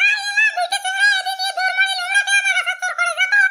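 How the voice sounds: In a cartoonish character voice, a man talks at a very fast pace with an extremely high pitch, a bright, sharp tone, and monotone, flat intonation.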